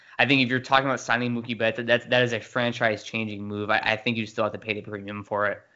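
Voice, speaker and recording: Speaking at a very fast pace with hardly any pauses, a man keeps a medium pitch and a monotone, flat intonation. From US West Coast, San Diego. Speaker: sports podcast co-host. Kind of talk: casual chat.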